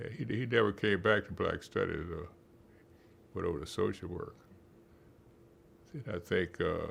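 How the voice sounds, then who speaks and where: Somewhat breathy, the voice moves with lively intonation and long, frequent pauses. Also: man, fairly low pitch for a man, moderate pace. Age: 80s+. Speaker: retired psychology professor. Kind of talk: interview. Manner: halting.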